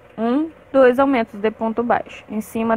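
Her fairly high voice keeps a fairly even intonation, and this woman is heard in a dry sound with no echo. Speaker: crochet teacher. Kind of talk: tutorial. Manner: talkative, chatty. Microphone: phone near.

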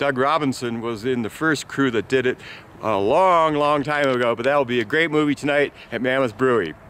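A man's fairly quick speech, with ordinary pitch variation and a dry sound with no echo. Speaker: local news vlogger. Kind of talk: casual vlog news report. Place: open country. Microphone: phone near.

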